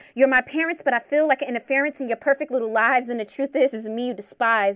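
A woman speaks at a fairly quick pace with ordinary pitch variation, in an ordinary speaking voice. The sound is dry and close with no echo, on a very clean recording with a silent background. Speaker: podcast host and spoken word poet. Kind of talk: spoken word poetry, rhyming, rhythmic, performed. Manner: rhythmic, emotive, punchy rhymes; upbeat, promotional ad-read style.

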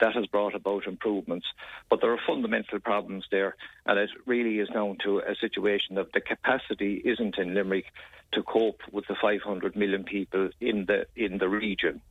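A man speaks with an Irish accent at a fairly low pitch. His intonation is monotone and flat, his pace moderate. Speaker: politician discussing health policy. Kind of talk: radio interview.

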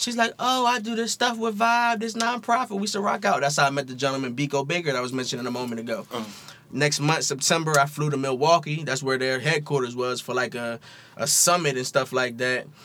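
A fairly high-pitched man with an American accent, fairly quick pace and very wide pitch swings, plus noticeable background noise. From Philadelphia. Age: 30s. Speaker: hip hop and sports journalist. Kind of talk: casual chat.

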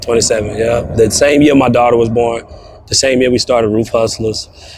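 A man with a medium-pitched voice speaks while noticeable background noise carries on behind him. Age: 30s. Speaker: roofing sales trainer. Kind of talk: interview. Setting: outdoors.

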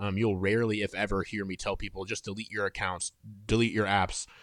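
A man with a US Midwestern accent speaks at a fairly low pitch in a bright, sharp tone with fairly even intonation. The recording is very clean with a silent background, dry and close with no echo. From Indiana, US Midwest. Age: 30s. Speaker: author and book editor. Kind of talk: podcast interview.

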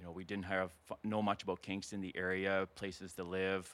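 Here is a man with an unremarkable speaking voice and a Canadian accent. He talks at a fairly low pitch and a fairly quick pace. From Alberta prairies, rural. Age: 50s. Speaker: retired soldier turned realtor. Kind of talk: casual interview chat.

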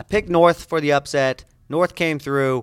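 A man with an American accent talks in a plain, everyday voice at a fairly high pitch and fairly quick pace, with ordinary pitch variation, on a very clean recording with a silent background and a dry, close sound with no echo. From Indiana. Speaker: sports journalist and podcast co-host. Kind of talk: casual sports podcast chat.

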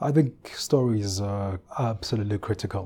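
A man talks with a dark, mellow tone, somewhat breathy and with fairly even intonation. The recording is very clean with a silent background. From South Africa, KwaZulu-Natal (Ulundi). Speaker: research institute director, academic. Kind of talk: interview.

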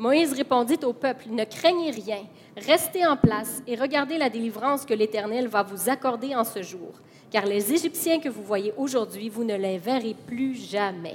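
Noticeable background noise surrounds a woman speaking at a fairly slow pace. Her pitch is fairly high and her intonation lively. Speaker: interpreter. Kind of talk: consecutive interpreting of a sermon. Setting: church with congregation. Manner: animated, fervent, preacher-like delivery, rising and emphatic when echoing the sermon.

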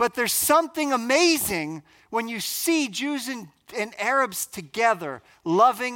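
In a very clean recording with a silent background, a man with an American accent uses a raised, projected voice, a bright, sharp tone and lively intonation at a fairly slow pace. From US Northeast, New Jersey. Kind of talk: conference talk.

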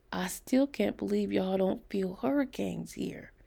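A woman's put-on character voice, medium in pitch, fairly slow, with ordinary pitch variation, a dark, mellow tone, a slightly husky edge and vocal fry.

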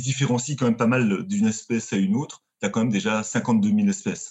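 Here a man talks at a medium pitch and a fairly quick pace, somewhat breathy. His intonation is lively. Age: 30s. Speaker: marine biologist. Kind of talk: casual chat.

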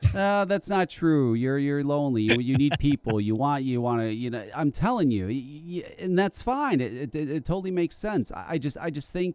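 Lively intonation from a man with fairly high pitch, at a moderate pace with hardly any pauses. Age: 40s. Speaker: podcast host. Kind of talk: casual chat. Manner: animated.

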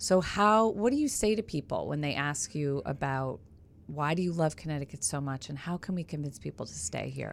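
In a very clean recording with a silent background, a woman speaks at a very deep, low pitch with lively intonation. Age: 40s. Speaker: podcast host, former TV news reporter. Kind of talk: casual interview chat. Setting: radio studio. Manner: animated.

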